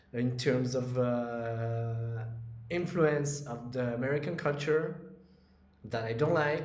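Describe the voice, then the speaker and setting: There is noticeable background noise as a man speaks at a very slow pace and medium pitch with fairly even intonation. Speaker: crypto YouTuber and trader. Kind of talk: monologue to camera, casual vlog. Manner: casual, hesitant with fillers.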